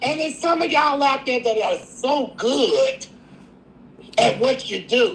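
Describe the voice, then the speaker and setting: A woman talks at a fairly slow pace with a high pitch and lively intonation. Noticeable background noise is present. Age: 60s. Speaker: caller. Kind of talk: live call-in chat.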